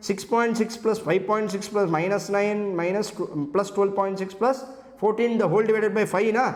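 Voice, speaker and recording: With a Tamil Indian accent, a man speaks at a high pitch and with fairly even intonation, over noticeable background noise and audible room echo. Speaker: CA exam lecturer. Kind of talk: lecture. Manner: fast.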